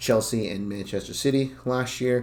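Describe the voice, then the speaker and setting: A man speaks with an American accent. His pace is moderate and his pitch varies in an ordinary way. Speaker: football podcast host. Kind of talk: casual podcast monologue. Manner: filler-heavy, hesitant.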